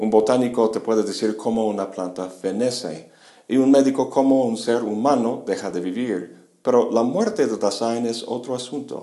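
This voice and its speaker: A man speaks at a medium pitch and a moderate pace, his tone dark and mellow. His pitch varies in an ordinary way, and there is audible room echo. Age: 50s. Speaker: philosophy lecturer. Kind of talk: lecture.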